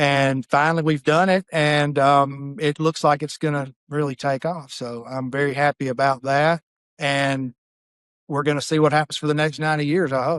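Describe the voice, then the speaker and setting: A man with a Southern US accent talks at a moderate pace in a fairly high, monotone voice with flat intonation. The sound is dry and close, with no echo. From Mississippi. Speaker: funeral director. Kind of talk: podcast interview.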